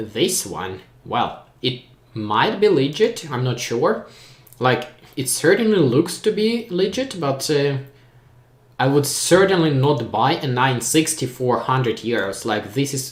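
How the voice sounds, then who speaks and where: Somewhat breathy, the voice moves at a fairly slow pace through very wide pitch swings. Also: man. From Ukraine. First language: Ukrainian. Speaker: tech YouTuber. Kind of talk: live stream Q&A.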